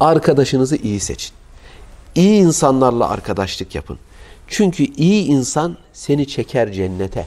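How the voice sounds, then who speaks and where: With a dark, mellow tone, a man speaks fairly slowly at a fairly high pitch, his pitch swinging very widely. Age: 40s. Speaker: Islamic preacher. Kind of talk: sermon. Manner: emotive. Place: home room. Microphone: lapel.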